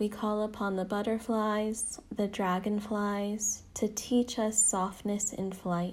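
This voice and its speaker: At a very slow pace with hardly any pauses, a woman speaks in a somewhat breathy, medium-pitched voice, her intonation monotone and flat and her tone calm and soothing. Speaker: meditation guide. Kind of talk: guided meditation. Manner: slow, calm, soothing; reverent, ceremonial.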